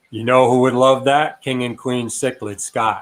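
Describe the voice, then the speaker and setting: Here a man with an American accent speaks at medium pitch and a fairly slow pace. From upstate New York. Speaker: aquarium hobbyist and fish breeder. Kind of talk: casual livestream chat. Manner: animated.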